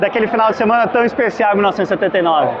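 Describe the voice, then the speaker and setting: Noticeable background noise runs through the clip. Over it, a man talks. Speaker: podcast host, motorsport commentator. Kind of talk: casual podcast chat.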